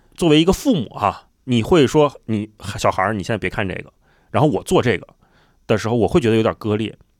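A man speaks at a very fast pace with lively intonation and long, frequent pauses, recorded very cleanly against a silent background. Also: medium pitch for a man. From Beijing. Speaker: podcast host. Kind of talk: casual chat.

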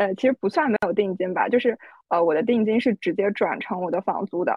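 Ordinary pitch variation from a woman talking at a fairly quick pace. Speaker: roundtable participant. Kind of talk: casual chat. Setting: video call.

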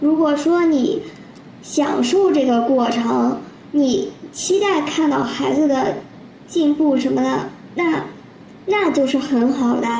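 With long, frequent pauses and a very slow pace, a woman speaks at a high pitch with ordinary variation and very even loudness, amid noticeable background noise and audible room echo. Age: 30s. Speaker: civil servant. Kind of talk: casual chat.

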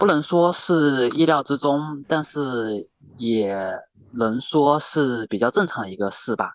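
Here a man talks at a very slow pace. His pitch is fairly high. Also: lively intonation. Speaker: volleyball video blogger. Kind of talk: casual chat.

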